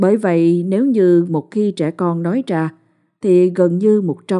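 Over a quiet background comes a natural reading voice with fairly even intonation.

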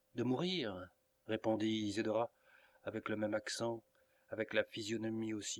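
What we hear is someone doing plain reading aloud.

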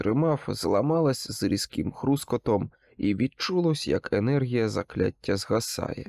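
Someone reads in an unforced reading voice with lively intonation.

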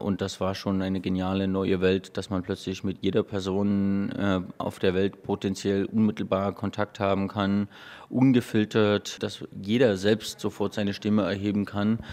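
At a moderate pace and low pitch, a man speaks with few pauses, monotone, flat intonation, and a slightly mellow tone.

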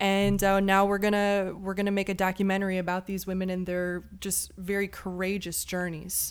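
The voice speaks in an American accent with monotone, flat intonation. It has hardly any pauses. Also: woman, medium pitch for a woman, moderate pace. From Chicago. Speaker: cinematographer and documentary filmmaker. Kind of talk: casual chat.

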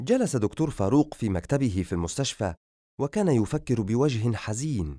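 The intonation is lively in an unforced reading voice. Behind it, the background stays quiet.

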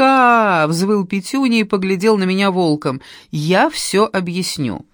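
Natural reading voice, nothing more.

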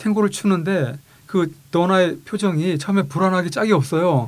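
A man with a high pitch talks fairly quickly, showing ordinary pitch variation. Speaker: car designer and university vice president. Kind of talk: interview chat.

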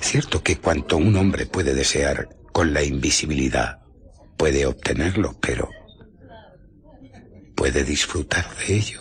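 Putting on a character voice, a man speaks at an extremely low pitch with a husky, rough edge, a slow pace, and ordinary pitch variation.

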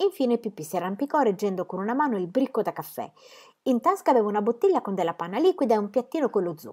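Someone reads in a natural voice with lively intonation.

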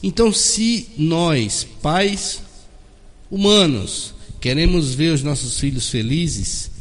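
Very wide pitch swings mark a man's speech at a very slow pace. Audible room echo surrounds his voice. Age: 40s. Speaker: doctor and spiritist speaker. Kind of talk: radio interview.

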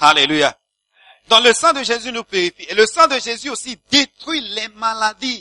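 A man speaks in a raised, projected voice at an extremely high pitch, with lively intonation and a fairly slow pace. The sound is dry and close, with no echo. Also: big swings in loudness. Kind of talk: sermon with blessing and prayer. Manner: fervent, animated, exclamatory preaching; call-and-response with the congregation.

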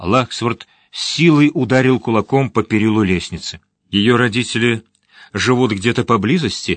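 The clip is plain reading aloud with ordinary pitch variation over a quiet background.

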